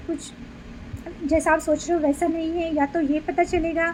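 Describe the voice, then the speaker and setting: A woman with an extremely high pitch, monotone and flat in intonation, at a fairly slow pace over noticeable background noise. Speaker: tarot reader. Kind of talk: tarot reading. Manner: conversational.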